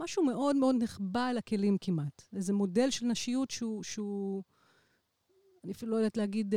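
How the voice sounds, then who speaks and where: An unremarkable speaking voice moves at a moderate pace with ordinary pitch variation. The sound is dry and close, with no echo. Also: woman. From Israel. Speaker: electronic musician. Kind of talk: casual chat.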